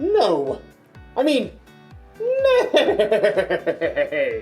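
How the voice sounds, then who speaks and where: An extremely high-pitched, put-on character voice. Faint music plays in the background. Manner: comical.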